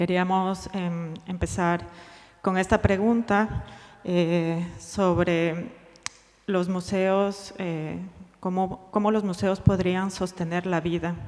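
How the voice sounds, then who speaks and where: Very slowly and in a monotone, flat intonation, a woman speaks at a medium pitch. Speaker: museum researcher presenting at a conference. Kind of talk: conference presentation. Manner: slow, deliberate Spanish; halting, hesitant English.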